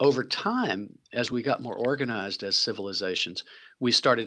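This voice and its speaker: Against a quiet background, a man with an American accent talks at a fairly quick pace in a medium-pitched, bright, sharp voice with ordinary pitch variation. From US South, Tennessee. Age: 60s. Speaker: impact investor and philanthropist. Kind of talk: interview conversation.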